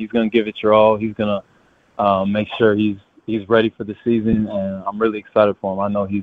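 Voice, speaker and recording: A fairly low-pitched man with an American accent, very fast pace and monotone, flat intonation. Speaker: basketball player. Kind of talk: interview.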